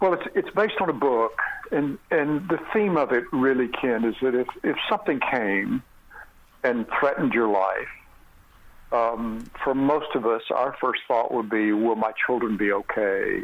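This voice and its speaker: Over noticeable background noise, a man speaks at a fairly slow pace with lively intonation and very even loudness. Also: medium pitch for a man. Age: 60s. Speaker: actor. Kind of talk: interview. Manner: halting.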